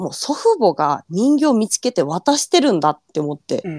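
Her voice sits at a medium pitch, with a Fukushima accent and very wide pitch swings. The woman's sound is dry and close, with no echo. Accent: Fukushima dialect intonation. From Fukushima, Japan. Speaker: ghost story collector. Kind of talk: storytelling.

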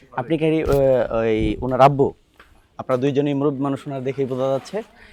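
A medium-pitched man talks with ordinary pitch variation while noticeable background noise goes on around him. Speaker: veterinarian. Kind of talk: field vlog.

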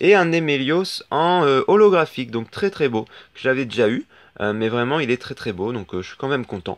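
The speech moves at a very fast pace with very wide pitch swings. The sound is dry and close, with no echo. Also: man. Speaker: YouTuber opening trading card packs. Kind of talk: unboxing video commentary. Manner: casual, many filler words.

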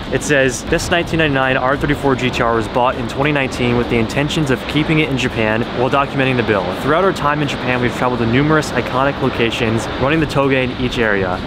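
A man talks at a fairly quick clip with hardly any pauses and ordinary pitch variation, his dry, echo-free sound set against loud background noise. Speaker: car vlogger. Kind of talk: casual vlog chat. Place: street. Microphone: phone near.

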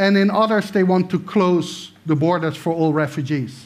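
A man speaks at a high pitch and a fairly slow pace. His pitch varies in an ordinary way. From Netherlands. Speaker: political science professor. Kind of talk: lecture. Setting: stage with audience. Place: stage.

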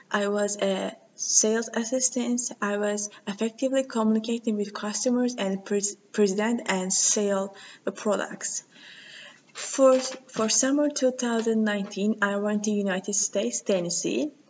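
Over light background noise, a woman with a Turkish accent speaks fairly slowly with a fairly high pitch and fairly even intonation. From Turkey. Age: 20s. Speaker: university student. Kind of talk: video CV self-introduction. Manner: halting. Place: meeting room. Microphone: webcam.

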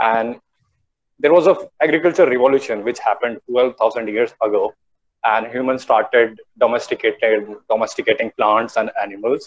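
A man with an Indian accent, at a moderate pace. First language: Hindi. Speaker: guest speaker, tourism alumnus. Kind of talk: online talk. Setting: video call. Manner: animated. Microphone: video call.

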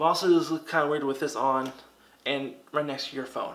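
The man's intonation is monotone and flat as he talks at a moderate pace. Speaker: product reviewer. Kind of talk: product review talk to camera.

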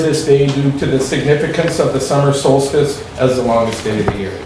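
A man talks at a fairly quick pace. Audible room echo and light background noise surround his voice. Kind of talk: formal meeting opening statement. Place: meeting room.

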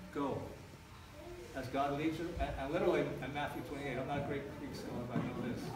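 Speaking at a fairly quick pace, a man is heard with audible room echo and loud background noise. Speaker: pastor / church planter. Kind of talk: sermon. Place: church.

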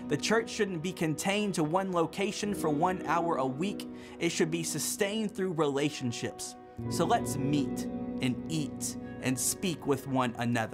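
With music in the background, a man speaks at a fairly slow pace, his fairly high pitch moving in very wide swings. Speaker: spoken word poet. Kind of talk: spoken word poetry performance.

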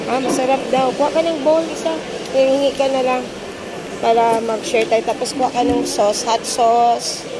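A woman keeps to a moderate pace while noticeable background noise runs underneath. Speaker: food vlogger. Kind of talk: casual vlog chat. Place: market. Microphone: phone near.

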